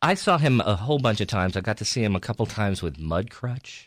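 This man has an American accent and a normal speaking voice at a medium pitch. He talks at a moderate pace with lively intonation on a very clean recording with a silent background. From New York (Peekskill, Hudson Valley). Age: 50s. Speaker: stand-up comedian. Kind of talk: casual chat.

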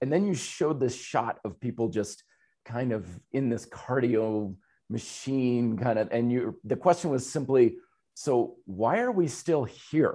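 A man with a dark, mellow tone and lively intonation against a quiet background. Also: medium pitch for a man. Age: 40s. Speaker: fitness podcast host. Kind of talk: casual interview chat.

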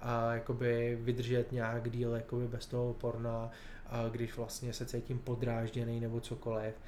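A man with a medium-pitched voice speaks at a moderate pace. Audible room echo surrounds him. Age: 30s. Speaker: nonprofit director. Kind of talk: interview.

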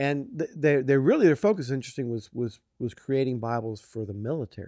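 With an American accent, a man speaks at a medium pitch and a fairly quick pace, his intonation lively. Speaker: author. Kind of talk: interview. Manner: fast; halting, repeats words.

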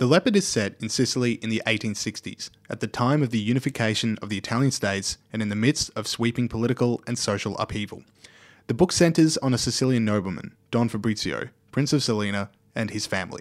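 A man with an Australian accent talks at a very fast pace, his pitch medium with ordinary variation. The recording is very clean, with a silent background. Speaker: podcast moderator. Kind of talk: scripted narration.

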